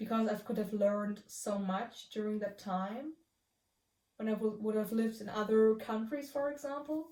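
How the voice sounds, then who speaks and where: Her pitch fairly high and its variation ordinary, a woman speaks at a moderate pace. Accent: German. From Germany. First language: German. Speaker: vlogger answering questions. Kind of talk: casual video monologue. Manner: halting, many repetitions and fillers.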